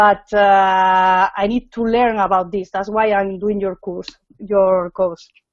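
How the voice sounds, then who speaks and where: A woman with a non-native accent, fairly slow pace and monotone, flat intonation. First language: not English. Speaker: course participant. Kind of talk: casual chat. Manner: halting.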